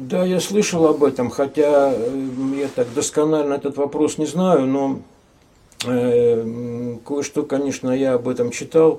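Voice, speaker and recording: Very slowly and with fairly even intonation, a man speaks at a fairly high pitch in a dark, mellow tone. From Arkhangelsk region, northern Russia. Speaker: artist and scientist. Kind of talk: radio talk show. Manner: hesitant, many fillers.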